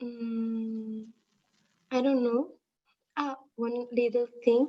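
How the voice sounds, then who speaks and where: The woman's high voice has a dark, mellow tone, delivered in a flat monotone at a very slow pace. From Spain. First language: Spanish. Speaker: livestream participant. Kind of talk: Q&A question. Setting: livestream. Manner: halting.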